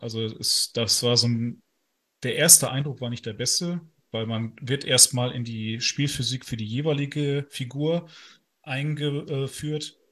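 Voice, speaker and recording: Against a quiet background, a man speaks in an ordinary speaking voice at medium pitch. His pace is fairly slow and his intonation fairly even. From northern Germany. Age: 30s. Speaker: lawyer and video game news writer. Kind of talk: casual interview.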